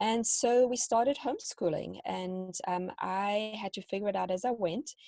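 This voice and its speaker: In a South African accent, a woman talks with a dark, mellow tone and ordinary pitch variation. The recording is very clean, with a silent background and a dry, close sound without echo. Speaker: homeschooling parent and teacher. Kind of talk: interview.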